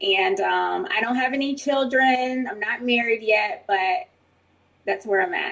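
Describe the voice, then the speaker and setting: Speaking slowly-ish at a fairly slow pace, a high-pitched woman with an American accent makes very wide pitch swings. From New Jersey. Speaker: army officer. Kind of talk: self-introduction on panel.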